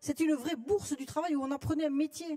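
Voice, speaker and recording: In a Toulouse accent, a woman talks at a very fast pace with a dark, mellow tone, the sound dry and close with no echo. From southern France, Toulouse. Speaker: trade union delegate. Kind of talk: congress floor speech.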